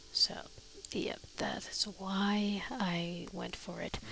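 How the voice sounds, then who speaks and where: A soft-spoken voice talks with music in the background. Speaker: Minecraft let's play streamer. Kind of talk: gameplay commentary.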